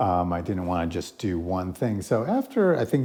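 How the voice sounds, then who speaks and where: A man's fairly low, dark, mellow voice with an American accent at a fairly quick pace. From New Jersey. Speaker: primary care physician. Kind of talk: interview. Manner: halting, many fillers.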